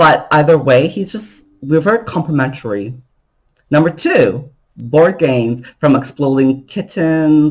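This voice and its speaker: In an animated tone, a man is talking. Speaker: vlogger. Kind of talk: casual monologue to camera. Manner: loud.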